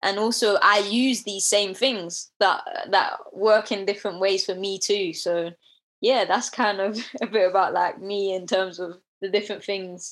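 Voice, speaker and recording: A woman with a south London accent talks at a fairly slow pace against a quiet background. Her pitch sits in the middle range and her intonation stays fairly even. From London, Deptford area. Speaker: nature content creator. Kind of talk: casual chat.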